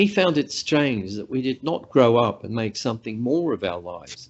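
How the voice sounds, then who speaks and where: A man speaks at a moderate pace with an Australian accent. His pitch swings very widely. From Central Australia, Alice Springs. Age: 60s. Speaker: professor. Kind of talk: lecture. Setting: video call.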